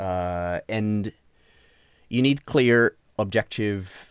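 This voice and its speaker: Heard in dry, close sound with no echo, a man with a Portuguese accent speaks with ordinary pitch variation. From Brazil. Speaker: senior game sound designer and mentor. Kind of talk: interview conversation. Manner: hesitant, many fillers and repetitions.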